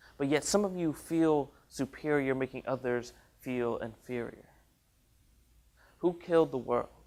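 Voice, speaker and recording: A man talks at a fairly slow pace with ordinary pitch variation and long, frequent pauses. The recording is very clean, with a silent background. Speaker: college student spoken word artist. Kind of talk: spoken word poetry performance.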